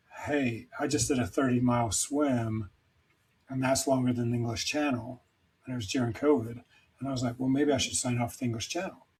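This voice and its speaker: A somewhat breathy voice at a fairly quick pace, with fairly even intonation. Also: man, medium pitch for a man. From Scotland, Edinburgh. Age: 50s. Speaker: endurance swimmer and recovery mentor. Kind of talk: interview conversation. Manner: hesitant, many fillers.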